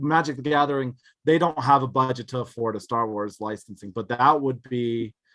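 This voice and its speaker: Against a quiet background, a man's loud voice comes through with a bright, sharp tone. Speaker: card collector and streamer. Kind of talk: podcast interview.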